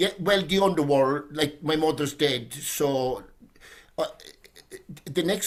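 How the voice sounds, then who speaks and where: Spoken at a moderate pace in a Cork accent, the pitch moves in an ordinary way. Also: man. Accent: Cork Irish. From Ireland, Cork. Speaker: poet. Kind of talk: casual discussion. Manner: halting, many repetitions.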